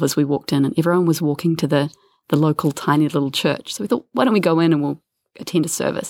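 Against a silent background in a very clean recording, a woman with a New Zealand accent speaks very fast at a very deep, low pitch with ordinary pitch variation. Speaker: travel podcast co-host. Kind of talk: casual chat. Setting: holiday home.

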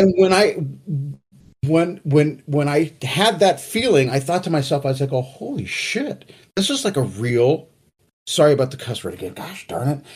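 Lively in intonation and fairly high in pitch, a man speaks at a moderate pace with vocal fry. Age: 50s. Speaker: metal band musician. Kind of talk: casual chat. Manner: halting, many repeated words.

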